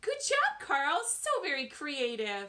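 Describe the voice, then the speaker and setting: Squeaky and high-pitched, a woman puts on a character voice with a cheerful tone at a fairly slow pace. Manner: cheerful, encouraging.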